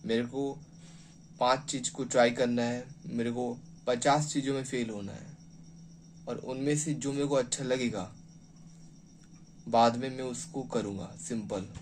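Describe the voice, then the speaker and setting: With long, frequent pauses and audible room echo, a man speaks at a medium pitch with ordinary pitch variation. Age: 20s. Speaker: motivational speaker. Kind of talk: motivational talk. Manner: halting.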